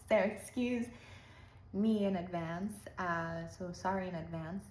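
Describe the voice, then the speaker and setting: At a fairly slow pace, a woman talks with a medium pitch and fairly even intonation. There is audible room echo. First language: not English. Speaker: lifestyle vlogger. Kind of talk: casual monologue. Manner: halting; calm.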